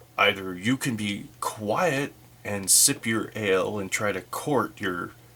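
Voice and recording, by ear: The text is read aloud in a natural voice.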